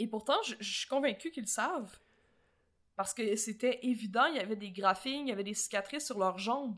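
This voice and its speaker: A woman with a Quebec accent and a fairly high pitch talks at a fairly quick pace with ordinary pitch variation. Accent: Québécois French. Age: 20s. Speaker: podcast co-host. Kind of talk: casual chat.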